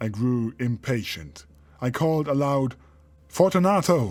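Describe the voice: The text is given as plain reading aloud.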